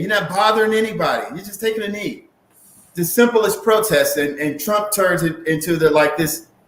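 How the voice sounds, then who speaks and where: A high-pitched man with an American accent at a moderate pace, ordinary pitch variation and audible room echo. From St. Louis, Missouri. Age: 60s. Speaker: activist and congressional candidate. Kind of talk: casual interview. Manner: repetitive, stammering restarts.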